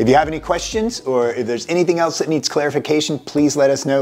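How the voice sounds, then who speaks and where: This man speaks at a very fast pace. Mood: friendly, reassuring. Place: office. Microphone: lapel.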